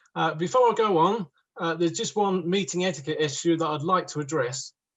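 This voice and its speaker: A man's high-pitched voice with a southern English accent, at a moderate pace with ordinary pitch variation. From southern England, East Sussex. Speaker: woodworker. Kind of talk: talk to online audience.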